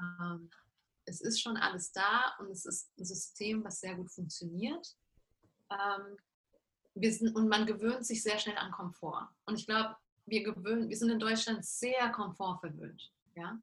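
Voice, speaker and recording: A woman speaks at a fairly slow pace with a medium pitch and ordinary pitch variation. Her loudness swings widely, and she takes long, frequent pauses. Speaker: life coach. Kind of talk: interview. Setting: video call.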